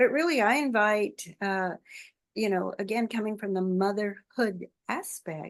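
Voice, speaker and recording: Lively intonation over a quiet background. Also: woman. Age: 70s. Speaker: author and mothers' wellness advocate. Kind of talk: interview conversation.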